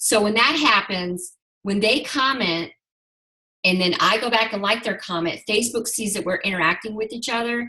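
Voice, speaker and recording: A woman speaks at a moderate pace with a medium pitch and ordinary pitch variation. She has an unremarkable speaking voice. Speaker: network marketing team leader. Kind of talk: group video call training.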